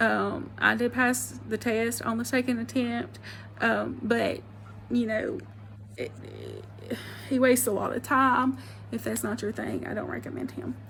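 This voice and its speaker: This woman talks at a fairly slow pace in an Alabama accent. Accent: Alabama Southern. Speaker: vlogger, former real estate agent. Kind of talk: casual advice vlog. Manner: casual, hesitant with many fillers.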